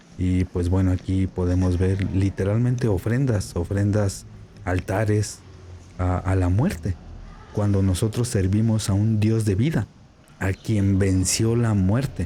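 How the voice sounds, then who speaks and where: Speaking at a fairly slow pace, a man uses a fairly low, somewhat breathy voice with a dark, mellow tone, fairly even intonation and very even loudness. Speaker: Bible student and video commentator. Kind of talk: vlog commentary while filming. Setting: inside a church. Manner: speaking quietly.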